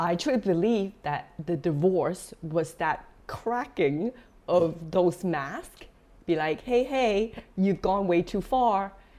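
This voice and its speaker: Very slowly and with lively intonation, a woman speaks in a medium pitch with a dark, mellow tone and a non-native accent. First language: not English. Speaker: divorce wellness coach. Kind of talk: podcast interview.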